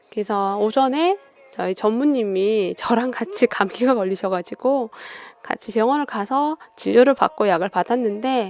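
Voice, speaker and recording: A woman at a moderate pace, fairly high in pitch with ordinary pitch variation, dry and close with no echo, music playing in the background. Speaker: radio-style talk host. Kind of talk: casual monologue.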